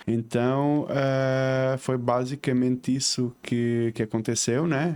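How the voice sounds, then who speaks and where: As a man talks, noticeable background noise is present. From southern Portugal, Faro, Algarve. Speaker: civil engineer and entrepreneur. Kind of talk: podcast interview. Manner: hesitant with many fillers.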